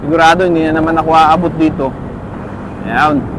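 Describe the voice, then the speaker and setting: Against noticeable background noise, a man speaks at a moderate pace. His pitch is high. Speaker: motovlogger. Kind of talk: casual vlog commentary while riding. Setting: on a motorcycle in traffic.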